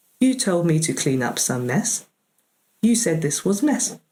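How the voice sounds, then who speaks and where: Using a robotic, put-on character voice, a man speaks at a moderate pace with a high pitch and very wide pitch swings. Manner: emotionless.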